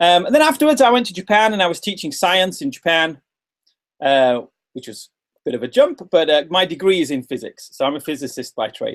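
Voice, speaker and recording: In a British accent, a man talks at a high pitch. His pitch swings very widely. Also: fairly quick pace. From England. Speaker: English teacher trainer. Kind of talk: webinar presentation. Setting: video webinar. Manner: fast; animated.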